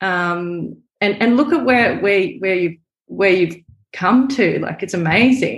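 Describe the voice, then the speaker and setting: At a very slow pace, a woman with an Australian accent speaks at medium pitch with lively intonation. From Brisbane, Australia. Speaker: photographer and filmmaker. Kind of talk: casual interview chat. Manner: chatty.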